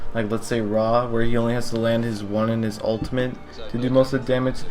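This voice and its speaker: A man talks at a medium pitch while music plays behind him. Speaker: gaming YouTuber. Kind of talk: video game guide narration. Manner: flat, unexciting.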